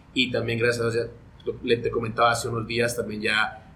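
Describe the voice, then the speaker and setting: Noticeable background noise fills the recording. Through it, a man talks at a very fast pace. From Guatemala. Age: 40s. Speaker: sports broadcaster. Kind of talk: casual interview.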